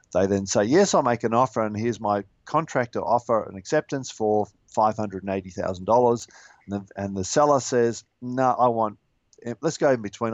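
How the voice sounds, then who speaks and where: A man with an Australian accent speaks at a fairly quick pace. His pitch is medium, with ordinary pitch variation. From Western Australia, Perth. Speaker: mortgage lender, small business owner. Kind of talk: interview on real estate finance.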